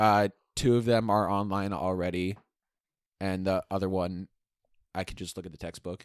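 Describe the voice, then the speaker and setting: A man with a very deep, low voice speaks in a deadpan tone at a moderate pace, with fairly even intonation and long, frequent pauses. His loudness swings widely, and the sound is dry and close with no echo. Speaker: guest, student. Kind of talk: casual chat. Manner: deadpan, joking.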